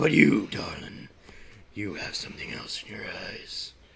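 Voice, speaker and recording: A man's raspy, put-on character voice, with big swings in loudness and a moderate pace. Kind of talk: hammy melodrama table read. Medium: stage play. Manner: smooth, calls everyone darling, melodramatic.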